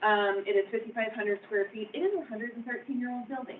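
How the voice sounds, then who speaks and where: Over noticeable background noise, a woman with a fairly high voice talks at a very fast pace. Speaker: dance teacher and building owner presenting. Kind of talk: public meeting presentation. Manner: loud.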